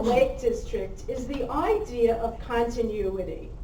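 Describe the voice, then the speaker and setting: With a New York accent, a woman talks at a fairly slow pace over noticeable background noise, and audible room echo surrounds her. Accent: New York City. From New York City. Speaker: resident speaking at public hearing. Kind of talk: public comment at hearing. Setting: public hearing with PA mic.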